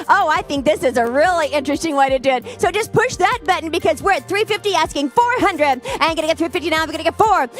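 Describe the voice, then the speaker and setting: Extremely high-pitched woman at a very fast pace, lively intonation and hardly any pauses, with music in the background. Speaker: charity auctioneer. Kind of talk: live auction calling. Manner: animated.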